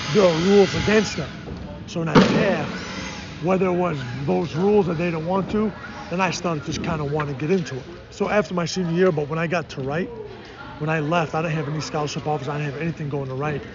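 A man's fairly high voice at a very fast pace, broken by long, frequent pauses, with audible room echo and noticeable background noise. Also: ordinary pitch variation. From Chicago, US Midwest. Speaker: basketball coach. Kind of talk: interview. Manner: halting, many fillers.

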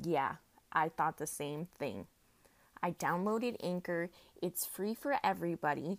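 Over a very clean recording with a silent background, a woman with an unremarkable speaking voice talks at a fairly slow pace in a medium pitch. Her intonation is lively, and the sound is dry and close with no echo. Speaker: podcast host. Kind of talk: motivational pep talk, solo rant. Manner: upbeat, chatty, warm and encouraging; filler-heavy, casual.

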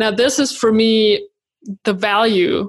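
In a German accent, a woman speaks at a fairly high pitch with fairly even intonation. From Germany. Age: 30s. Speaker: creative entrepreneur and YouTuber. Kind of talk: interview. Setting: remote call from home.

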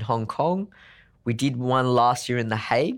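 Recorded very cleanly against a silent background, a man speaks with an Australian accent at a medium pitch. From Sydney, Australia. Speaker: legal technology consultant. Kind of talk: interview.

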